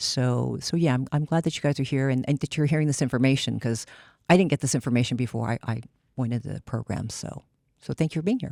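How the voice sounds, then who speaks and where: Very fast speech with an American accent, a dark, mellow tone and vocal fry. The sound is dry and close with no echo, in a very clean recording with a silent background. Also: woman, very deep, low pitch for a woman, ordinary pitch variation. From California, Seaside. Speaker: psychologist. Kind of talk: panel discussion.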